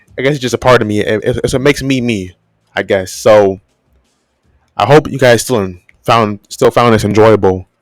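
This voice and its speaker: A man at a moderate pace with ordinary pitch variation and long, frequent pauses, dry and close with no echo, music in the background. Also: medium pitch for a man. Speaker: YouTuber. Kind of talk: voiceover commentary. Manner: halting, repetitive; casual.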